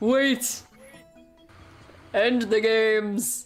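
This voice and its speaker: Over faint music in the background, a booming, put-on character voice speaks at a fairly high pitch in a flat monotone. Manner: commanding.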